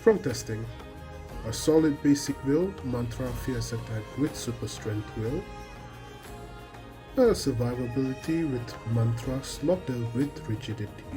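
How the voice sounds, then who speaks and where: Music plays in the background as the speaker goes at a fairly slow pace, with long, frequent pauses. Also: man. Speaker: game guide creator. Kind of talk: game tutorial voiceover.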